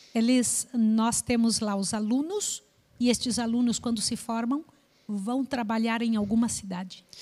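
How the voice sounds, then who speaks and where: Speaking at a fairly slow pace, a woman with a fairly high pitch and a dark, mellow tone keeps her intonation fairly even. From Brazil. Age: 60s. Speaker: missionary. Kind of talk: testimony.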